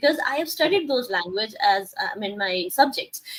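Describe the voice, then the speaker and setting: A woman speaks with a Punjabi accent. Her pitch swings very widely. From India, Rajasthan (Punjabi family). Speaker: life coach and talk show host. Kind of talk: interview talk show.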